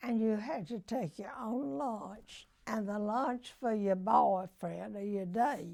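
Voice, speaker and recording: A woman with a dark, mellow tone talks at a very slow pace, her intonation lively. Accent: Southern US. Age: 80s+. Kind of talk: interview answer.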